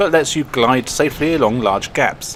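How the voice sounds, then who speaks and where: Noticeable background noise sits behind a man talking at a fairly quick pace. His pitch is fairly high, with ordinary variation. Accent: English. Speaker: video game reviewer. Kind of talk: scripted narration.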